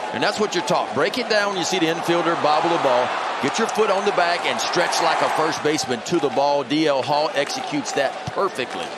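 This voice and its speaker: A high-pitched man talking with hardly any pauses and very even loudness, over noticeable background noise. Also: ordinary pitch variation, fairly quick pace. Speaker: color commentator. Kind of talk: live sports commentary, analysis banter.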